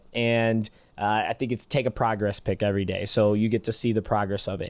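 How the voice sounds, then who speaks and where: The speaker has a Michigan accent and a moderate pace. The background is quiet. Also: man. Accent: Michigan accent, nasal A's. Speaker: basketball skills trainer and podcast co-host. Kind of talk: casual podcast chat.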